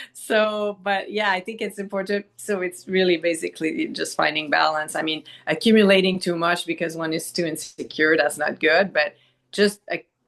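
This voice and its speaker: A woman with a Quebec accent speaks at medium pitch and a moderate pace, with ordinary pitch variation. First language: Quebec French. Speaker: doctor, podcast guest. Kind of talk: casual chat. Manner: halting.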